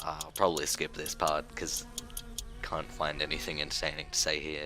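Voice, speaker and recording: A man talks in an Australian accent at a moderate pace, his intonation monotone and flat. Noticeable background noise sits behind him. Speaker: gaming youtuber. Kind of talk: gameplay tutorial commentary. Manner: casual, rambling with self-interruptions.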